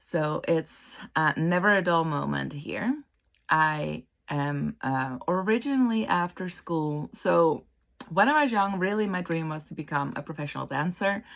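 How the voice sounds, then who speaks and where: Speaking at a fairly slow pace with a Dutch accent, a woman with a fairly low voice uses lively intonation on a very clean recording with a silent background. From Netherlands. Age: 40s. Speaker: interior designer and counsellor. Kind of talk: casual vlog introduction.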